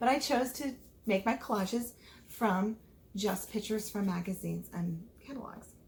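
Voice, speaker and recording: Somewhat breathy, a woman speaks at a fairly high pitch with an American accent. Her pitch varies in an ordinary way. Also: moderate pace. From United States. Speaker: teacher. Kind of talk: virtual classroom lesson for foreign students.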